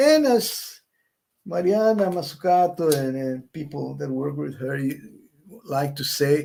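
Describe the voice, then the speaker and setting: Speaking at a fairly slow pace, this man has a fairly high pitch, ordinary pitch variation and a non-native accent. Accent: non-native English, says it's rusty. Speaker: economics professor, panel speaker. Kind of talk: conference presentation. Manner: halting, with false starts.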